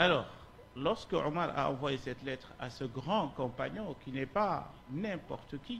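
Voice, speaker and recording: A man speaks at a very slow pace in a fairly high voice. Vocal fry runs through his speech. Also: lively intonation. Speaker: Islamic scholar, lecturer. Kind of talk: lecture. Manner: slow, deliberate.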